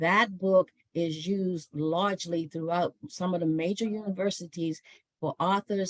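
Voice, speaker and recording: A woman with an ordinary speaking voice talks fairly slowly at a fairly low pitch with fairly even intonation, the sound dry and close with no echo. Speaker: author and historian giving a talk. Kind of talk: online book talk.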